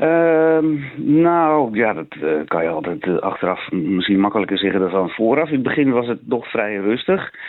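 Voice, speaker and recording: A man talks at medium pitch and a moderate pace. His pitch swings very widely. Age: 50s. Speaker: local councillor. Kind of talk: radio interview. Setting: phone call. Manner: hesitant, many filler sounds.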